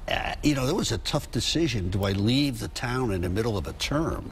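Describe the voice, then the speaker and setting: A man speaks with an American accent. The room echo is audible. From Connecticut, New Haven. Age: 70s. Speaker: chamber of commerce president. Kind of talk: TV news interview. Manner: conversational, hesitant with fillers.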